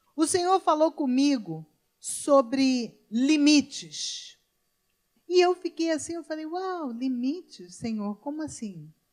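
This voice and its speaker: Speaking at a very slow pace, a woman with a high pitch uses lively intonation and big swings in loudness. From Brazil, Rio de Janeiro. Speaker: pastor. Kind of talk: sermon. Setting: church.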